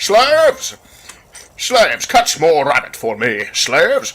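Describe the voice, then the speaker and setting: A man puts on a pompous character voice at an extremely high pitch. He speaks at a fairly slow pace. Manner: pompous, commanding.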